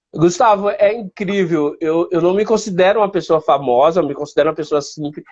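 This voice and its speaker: A man with a northeastern Brazilian accent talks at a moderate pace. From Northeast Brazil, Piauí. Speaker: blind photographer. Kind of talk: interview.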